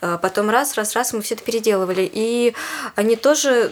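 Ordinary pitch variation marks a woman's fairly high voice, heard through noticeable background noise. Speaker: puppet theatre actress. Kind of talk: interview. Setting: studio. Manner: hesitant, many fillers.

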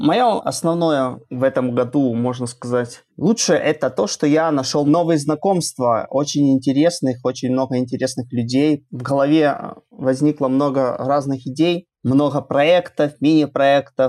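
With a dark, mellow tone, a man speaks at a fairly slow pace in a fairly high pitch with ordinary pitch variation. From Belarus. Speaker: web developer. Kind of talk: casual interview. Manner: halting, repeats words.

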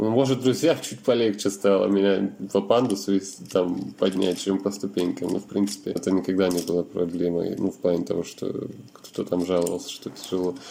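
Using an unremarkable speaking voice, a man goes at a fairly quick pace with a fairly low pitch. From Russia, Yekaterinburg. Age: 30s. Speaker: wheelchair user, internet company employee. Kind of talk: interview testimony.

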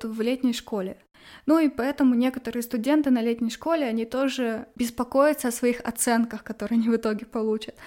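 A woman's dark, mellow tone at a high pitch and fairly quick pace. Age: 20s. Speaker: graduate student. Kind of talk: interview.

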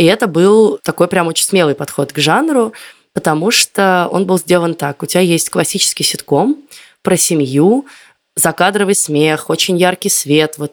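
An ordinary speaking voice from a woman, with ordinary pitch variation at a moderate pace. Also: very clean recording, silent background. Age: 30s. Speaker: podcast host, former film site editor. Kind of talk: casual chat.

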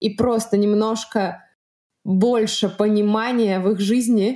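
Her tone is dark and mellow. The woman keeps her intonation fairly even. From Russia. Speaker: podcast host and volunteer. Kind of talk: solo podcast narration.

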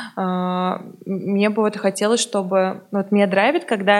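A woman with a medium pitch talks at a moderate speed while noticeable background noise plays. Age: 20s. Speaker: co-founder of a resale platform. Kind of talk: interview.

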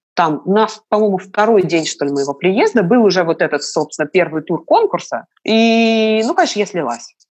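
Against a quiet background, a woman with an ordinary speaking voice talks at a medium pitch and a moderate pace, her intonation lively. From Moscow, Russia. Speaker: tour guide and opera singer. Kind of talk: casual chat.

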